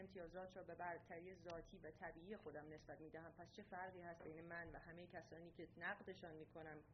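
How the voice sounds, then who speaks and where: Speaking at a fairly quick pace, a woman has a plain, everyday voice with a fairly low pitch. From Iran. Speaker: doctoral student in anthropology. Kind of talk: reading aloud a prepared essay. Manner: formal.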